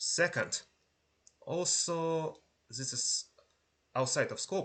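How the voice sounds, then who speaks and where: He speaks with a non-native accent. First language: not English. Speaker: university lecturer. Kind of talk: lecture. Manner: halting, with pauses and repetitions.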